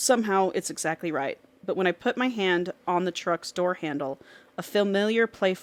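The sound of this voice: An unforced reading voice, pitch shifting in an ordinary way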